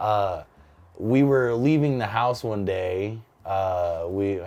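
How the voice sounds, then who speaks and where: A man with a Californian accent talks in a fairly low pitch. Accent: General American, Californian. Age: 20s. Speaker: stand-up comedian. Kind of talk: interview, personal storytelling. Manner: casual, hesitant with fillers.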